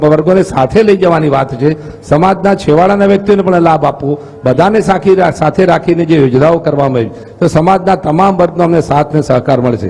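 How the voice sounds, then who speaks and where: Noticeable background noise accompanies a man with a high pitch and ordinary pitch variation. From north Gujarat, Mehsana district. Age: 60s. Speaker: politician, parliamentary candidate. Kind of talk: interview.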